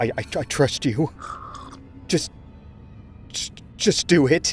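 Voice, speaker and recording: Over clear music in the background, a man does a strained, put-on character voice at a fairly high pitch and a fairly slow pace. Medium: audio drama. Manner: stuttering, strained.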